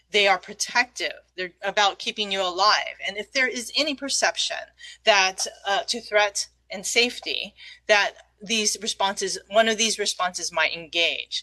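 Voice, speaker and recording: A woman's bright, sharp voice moves with ordinary pitch variation. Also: medium pitch for a woman, moderate pace. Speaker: trauma educator presenter. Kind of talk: lecture.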